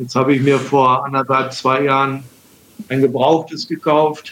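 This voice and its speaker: At a moderate pace, a man talks with a medium pitch and fairly even intonation. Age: 60s. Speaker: wheelchair user and former Paralympic table tennis player. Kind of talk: casual interview.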